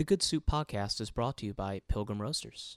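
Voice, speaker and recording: A man with a plain, everyday voice speaks at a fairly low pitch, the sound dry and close with no echo in a very clean recording with a silent background. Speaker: podcast host. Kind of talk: casual chat. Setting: studio.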